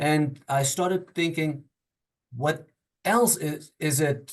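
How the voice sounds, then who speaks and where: A man with a non-native accent speaks in a somewhat breathy voice. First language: not English. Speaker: workshop participant. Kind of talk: group discussion. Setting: video call. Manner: halting.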